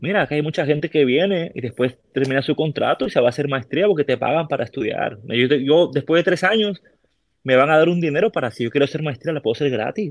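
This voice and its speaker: Speaking at a very fast pace, a man with a fairly high pitch and ordinary pitch variation sounds dry and close, with no echo. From Peru, Callao (Lima). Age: 30s. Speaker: army musician. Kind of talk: casual chat.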